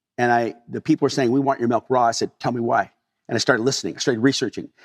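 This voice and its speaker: A man with a Californian accent is heard in a dry, close sound with no echo. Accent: General American (Californian). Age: 60s. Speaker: dairy farmer. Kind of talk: interview storytelling. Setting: on his farm.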